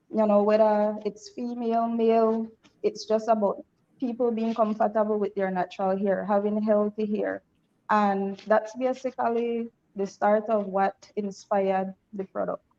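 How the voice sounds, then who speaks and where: A woman speaks at a moderate pace with a fairly high pitch. Her tone is dark and mellow, her intonation monotone and flat. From Belize. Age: 30s. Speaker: entrepreneur, cosmetologist. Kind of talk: interview.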